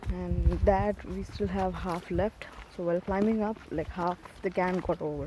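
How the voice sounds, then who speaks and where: Moderately paced speech from a woman over noticeable background noise. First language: Tamil. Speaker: vlogger. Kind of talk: casual vlog narration. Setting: outdoors, hiking trail. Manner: halting.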